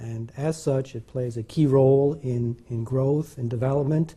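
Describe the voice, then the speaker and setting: At a moderate pace, a man with a medium-pitched, dark, mellow and somewhat breathy voice speaks with fairly even intonation. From Venezuela. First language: Spanish. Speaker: scientist. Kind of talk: interview. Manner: halting, many fillers.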